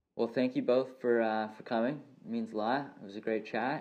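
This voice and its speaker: Speaking at a fairly quick pace, a man at medium pitch has an unremarkable speaking voice. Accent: Canadian. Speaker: podcast host. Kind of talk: casual interview.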